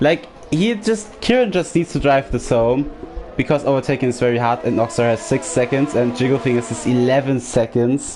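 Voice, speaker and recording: Fairly quick speech from a man in a German accent at medium pitch, with very even loudness and ordinary pitch variation over music in the background. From Germany. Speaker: sim racing commentator. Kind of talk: live commentary.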